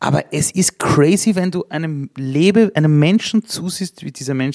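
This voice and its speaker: A man talks with lively intonation and an animated tone, recorded with a dry, close sound and no echo. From Vienna, Austria (Simmering). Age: 40s. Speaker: speaker and entrepreneur. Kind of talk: live interview. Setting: stage with audience.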